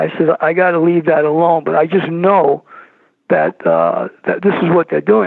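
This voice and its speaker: A man talks in a New York accent against noticeable background noise. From New York City (Brooklyn). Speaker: filmmaker, paranormal guest. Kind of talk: interview.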